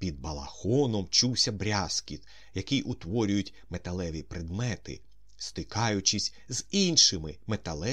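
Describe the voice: Someone reads a passage aloud in a plain way. The pitch rises and falls in a lively manner.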